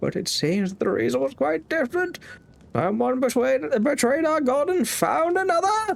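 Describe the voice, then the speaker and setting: This is a put-on character voice with a high pitch. It swings very widely in pitch. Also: moderate pace. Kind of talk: sermon-like preaching. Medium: game stream.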